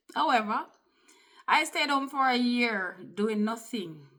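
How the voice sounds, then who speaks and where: A woman with a Jamaican accent speaks at a fairly slow pace in a bright, sharp tone. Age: 50s. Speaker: vlogger. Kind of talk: personal testimony. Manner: conversational.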